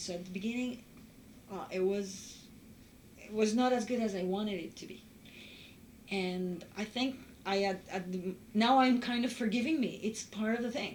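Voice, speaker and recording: A somewhat breathy woman's voice with a Spanish accent, fairly high in pitch, with ordinary pitch variation, a moderate pace, long and frequent pauses, and audible room echo. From Uruguay. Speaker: former international student. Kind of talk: interview testimony.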